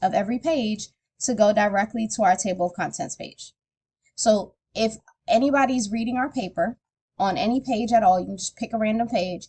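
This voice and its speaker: A woman speaks at a fairly quick pace and fairly high pitch, with ordinary pitch variation. Her tone is dark and mellow, and somewhat breathy. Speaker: teacher. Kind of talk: tutorial. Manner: casual.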